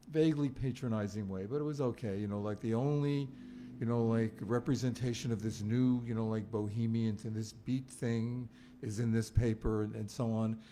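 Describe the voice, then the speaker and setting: A man with an American accent, medium pitch and fairly even intonation at a moderate pace, with music in the background. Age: 70s. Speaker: author, film critic. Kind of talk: book event conversation. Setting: bookstore event with audience. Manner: halting, many fillers.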